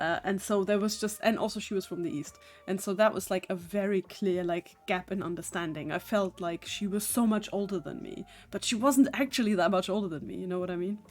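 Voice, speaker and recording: A woman with a German accent speaks with ordinary pitch variation. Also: medium pitch for a woman, fairly quick pace. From southern Germany. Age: 30s. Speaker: digital artist streamer. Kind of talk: casual live stream chat.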